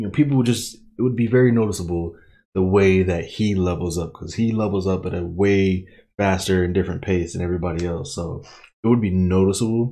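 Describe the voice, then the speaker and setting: Behind the voice, things stay quiet. Its tone is dark and mellow. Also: man. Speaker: streamer reacting to an anime. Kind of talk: casual commentary recap. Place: home room.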